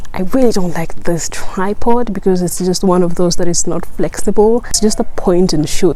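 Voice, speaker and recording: Noticeable background noise and audible room echo surround the recording. A woman with a fairly low pitch speaks at a moderate pace with ordinary pitch variation. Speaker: YouTuber. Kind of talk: tutorial. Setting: outdoors. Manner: some stuttering.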